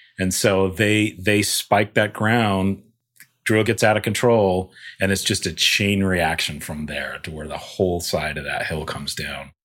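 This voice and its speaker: A man's fairly low voice, a normal speaking voice, fairly slow with ordinary pitch variation. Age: 40s. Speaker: visual effects supervisor. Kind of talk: casual chat.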